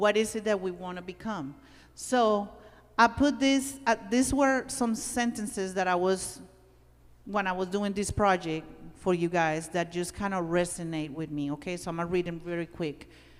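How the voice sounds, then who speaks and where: A woman with a non-native accent talks at a moderate pace. Her pitch is medium and her intonation lively. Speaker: workshop presenter. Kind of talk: workshop talk. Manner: animated.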